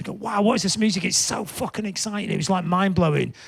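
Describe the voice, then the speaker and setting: In a Lancashire accent, a man talks at a very fast pace with an animated tone over noticeable background noise. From northern England, Blackpool. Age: 60s. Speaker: punk musician and music writer. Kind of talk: interview chat. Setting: studio, live show.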